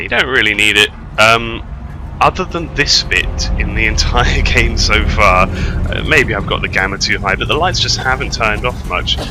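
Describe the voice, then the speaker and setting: The speech moves at a moderate pace amid noticeable background noise. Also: man. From Britain. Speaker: gamer. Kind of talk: gameplay commentary. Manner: rambling, hesitant.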